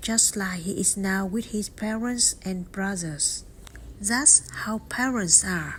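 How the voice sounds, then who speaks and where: Speaking very slowly, a woman uses a Vietnamese accent. Her pitch is medium, with ordinary variation. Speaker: vlogger. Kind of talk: personal narration.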